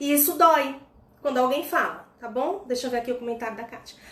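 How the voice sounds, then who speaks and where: A woman at a fairly quick pace with ordinary pitch variation and audible room echo. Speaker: personal development coach. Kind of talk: instagram live talk. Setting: live stream.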